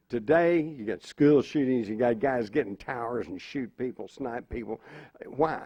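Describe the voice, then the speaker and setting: With an ordinary speaking voice, a man speaks at a moderate pace in a medium pitch with ordinary pitch variation. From Texas. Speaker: panelist. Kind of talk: panel discussion.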